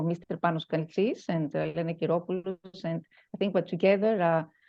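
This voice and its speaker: A woman's fairly low voice in a Greek accent, monotone and flat, at a very fast pace. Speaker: educator and talk show host. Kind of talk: self-introduction in online conference. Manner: halting.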